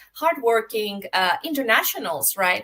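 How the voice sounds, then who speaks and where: A woman talks at a fairly slow pace with noticeable background noise. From Greece. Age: 40s. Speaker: podcast host. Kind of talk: interview. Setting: live video stream.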